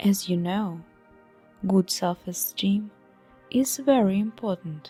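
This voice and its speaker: Music in the background behind a woman's medium-pitched voice, very slow in pace, with ordinary pitch variation. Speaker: hypnotherapist. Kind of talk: hypnosis meditation guide. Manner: calm, slow-paced, measured.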